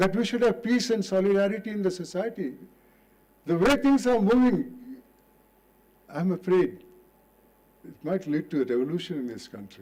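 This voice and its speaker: A man's high-pitched voice with lively intonation, a moderate pace, and long, frequent pauses. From India, coastal Karnataka. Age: 80s+. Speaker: retired judge. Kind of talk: public lecture.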